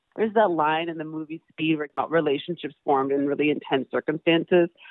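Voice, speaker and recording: In an American accent, a woman speaks with a very deep, low pitch. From US Midwest, Madison, Wisconsin. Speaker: lawyer. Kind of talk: interview.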